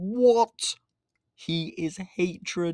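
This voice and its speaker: A man speaks in an animated tone. The sound is dry and close with no echo, recorded very cleanly over a silent background. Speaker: comics video creator. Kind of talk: casual commentary video.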